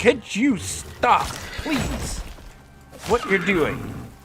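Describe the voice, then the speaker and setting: A man with an American accent at a very slow pace, long and frequent pauses, and music in the background. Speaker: video game streamer. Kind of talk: live gameplay commentary. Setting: live stream.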